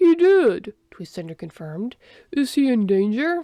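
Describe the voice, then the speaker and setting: A put-on character voice at a moderate pace, with very wide pitch swings. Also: woman, high pitch for a woman. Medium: read story. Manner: formal, literal.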